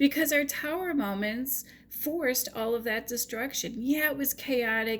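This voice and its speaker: In a very clean recording with a silent background, a woman talks at a fairly slow pace and a high pitch with ordinary pitch variation. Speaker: tarot reader. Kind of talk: tarot reading monologue. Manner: animated.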